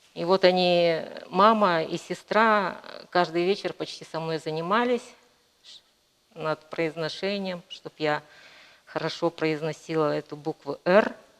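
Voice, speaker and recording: A woman at a fairly low pitch and a very slow pace, with long, frequent pauses, ordinary pitch variation and big swings in loudness. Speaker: painter. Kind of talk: interview. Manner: hesitant, many fillers.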